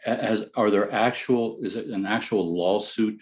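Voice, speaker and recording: With an American accent, a man talks in a fairly low pitch. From US Midwest, Ohio. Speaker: resident speaking at public comment. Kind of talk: public meeting comment. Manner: halting.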